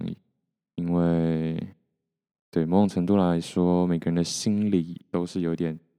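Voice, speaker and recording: Against a quiet background, a man with a very deep, low pitch and a dark, mellow tone speaks in a flat monotone at a fairly slow pace, with long, frequent pauses. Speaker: solo podcaster. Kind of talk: casual solo monologue. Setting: home recording with mixer, solo. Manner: soft, not loud.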